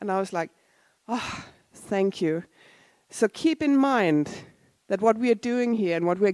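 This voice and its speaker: In a Danish accent, a woman speaks with a dark, mellow tone and a dry, close sound with no echo. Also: very clean recording, silent background. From Denmark. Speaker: non-profit climate and culture organizer. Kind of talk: conference talk. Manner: casual, conversational.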